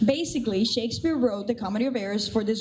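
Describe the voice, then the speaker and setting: Amid noticeable background noise and audible room echo, a woman with a Cuban accent speaks in an animated tone. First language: Spanish. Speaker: assistant theatre director. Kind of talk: pre-show talk to audience.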